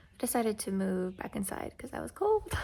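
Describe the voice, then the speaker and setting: At a moderate pace, a woman mumbles. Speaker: book vlogger. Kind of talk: casual vlog talk. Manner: mumbling; casual, halting.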